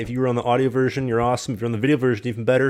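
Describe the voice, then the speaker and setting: A man with a Canadian accent talks at a very fast pace. His pitch is medium, and the recording is very clean with a silent background. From Canada, Winnipeg. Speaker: podcast host; hockey player. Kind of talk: casual chat; show outro.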